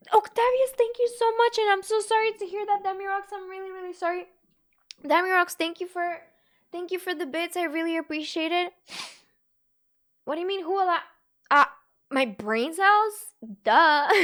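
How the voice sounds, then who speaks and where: A woman's extremely high-pitched voice at a moderate pace, with lively intonation, big swings in loudness and long, frequent pauses. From Bulgaria. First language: Bulgarian. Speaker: gaming streamer. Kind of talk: casual live stream chat. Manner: animated.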